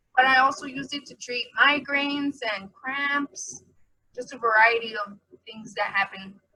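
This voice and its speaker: A woman speaks in a raised, projected voice at a fairly slow pace, her loudness swinging widely. Her tone is bright and sharp, her pitch high with ordinary variation. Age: 20s. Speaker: chronic pain patient. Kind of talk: personal testimony.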